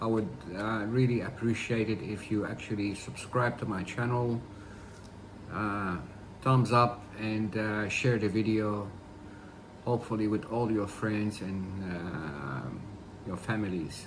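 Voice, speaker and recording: A fairly low male voice at a fairly slow pace, with long, frequent pauses, ordinary pitch variation and audible room echo. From Ghana, Accra. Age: 60s. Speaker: food vlogger. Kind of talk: casual vlog talk to camera.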